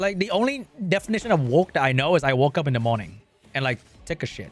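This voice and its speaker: A man's fairly high voice with a Vietnamese accent, very fast and animated, with very wide pitch swings over music in the background. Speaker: gaming streamer. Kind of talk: casual livestream chat.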